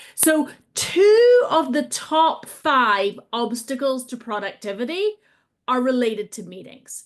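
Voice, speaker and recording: In a British accent, a woman speaks at a high pitch with very wide pitch swings against a quiet background. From Britain. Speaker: agile trainer and coach. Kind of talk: webinar presentation. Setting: online video call.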